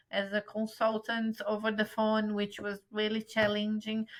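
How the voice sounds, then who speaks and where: A woman with a strong Brazilian accent, a bright, sharp tone and a medium pitch. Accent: Brazilian accent in English, still strong. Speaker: travel agent. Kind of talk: interview.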